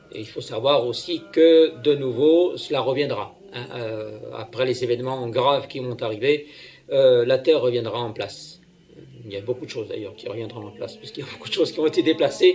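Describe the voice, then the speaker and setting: Big swings in loudness mark this man's speech. He keeps a moderate pace. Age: 60s. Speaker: self-proclaimed prophet, religious leader. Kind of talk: homily. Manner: hesitant, many fillers.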